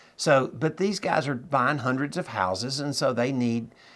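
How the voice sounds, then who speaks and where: Against a silent background in a very clean recording, a man with an unremarkable speaking voice talks at a moderate pace and medium pitch, his intonation lively. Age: 60s. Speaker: note investor and trainer. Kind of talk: interview.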